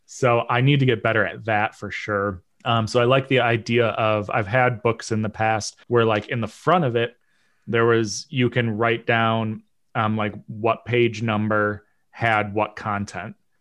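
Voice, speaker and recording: Against a quiet background, the voice moves at a fairly slow pace in a monotone with flat intonation. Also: man, medium pitch for a man. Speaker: podcast co-host. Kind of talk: casual chat.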